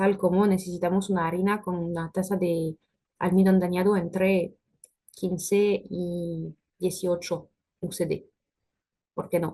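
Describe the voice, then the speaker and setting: Somewhat breathy, the voice stays monotone and flat, broken by long, frequent pauses. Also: woman, medium pitch for a woman. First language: French (speaking Spanish). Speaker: food industry technical specialist. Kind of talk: webinar presentation with Q&A. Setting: online webinar. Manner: hesitant, frequent filler sounds.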